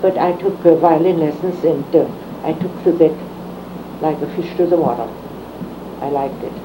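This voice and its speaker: Over noticeable background noise, a woman talks at a moderate pace with fairly even intonation and a fairly low pitch. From Germany. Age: 80s+. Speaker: retired teacher. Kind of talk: oral history interview answer.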